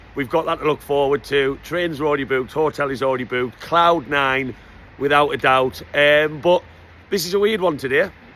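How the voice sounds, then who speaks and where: In a Geordie accent, a man talks at a fairly quick pace with a fairly high pitch. His tone is bright and sharp, with ordinary pitch variation. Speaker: football fan vlogger. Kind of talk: casual vlog. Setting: on a supporters bus. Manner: animated; loud.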